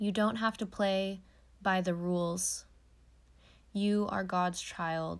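In a very clean recording with a silent background, a woman speaks in a warm tone, monotone and flat, at a very slow pace with long, frequent pauses. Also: medium pitch for a woman. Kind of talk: direct-address pep talk with spiritual affirmations, reading-style encouragement. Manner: warm, uplifting, earnest, encouraging.

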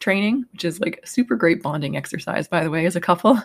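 A woman has a plain, everyday voice with a fairly low pitch and ordinary pitch variation. The recording is very clean, with a silent background. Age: 30s. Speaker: podcast host. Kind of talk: casual monologue. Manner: conversational with many fillers.

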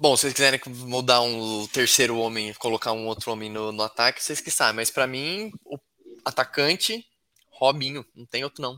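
A man speaks at a moderate pace in a bright, sharp tone, with medium pitch and ordinary pitch variation. The sound is dry and close, with no echo. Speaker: podcast co-host. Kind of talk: casual chat. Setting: live stream.

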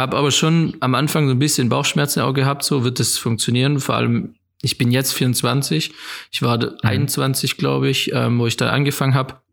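On a very clean recording with a silent background, a man with an unremarkable speaking voice talks at a moderate pace, his medium pitch following fairly even intonation and his loudness very even. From Germany, Swabia (near Rottweil). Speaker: photographer and filmmaker. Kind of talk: casual interview.

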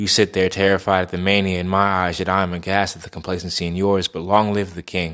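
In a very clean recording with a silent background, the speaker talks at a very fast pace with hardly any pauses and a monotone, flat intonation. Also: man, very deep, low pitch for a man. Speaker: poet and monologue performer. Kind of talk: dramatic monologue, theatrical verse delivery about kings and a dying world. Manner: casual and chatty in the intro and outro.

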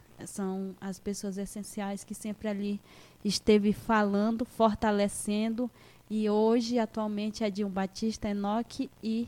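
A woman speaks fairly slowly in a medium pitch with a dark, mellow tone and flat, monotone intonation. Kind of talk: radio interview.

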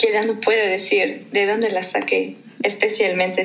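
At a moderate pace, a woman speaks with audible room echo and noticeable background noise. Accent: German. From Germany. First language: German (speaking Spanish). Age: 20s. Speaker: language learner guest. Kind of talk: casual interview. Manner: hesitant with fillers.

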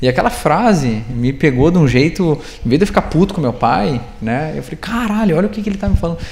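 Noticeable background noise under very fast talk with very wide pitch swings. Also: man, fairly high pitch for a man. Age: 30s. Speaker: startup founder and CEO. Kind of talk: live interview on stage.

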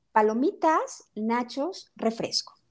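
Over background music, a woman speaks very slowly in a high voice with very wide pitch swings. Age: 30s. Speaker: nutritionist and family counselor. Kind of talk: interview.

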